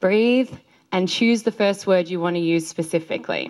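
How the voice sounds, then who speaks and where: Energetic in tone, a woman speaks at a moderate pace. Her pitch varies in an ordinary way. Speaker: public speaking coach. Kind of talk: presentation feedback.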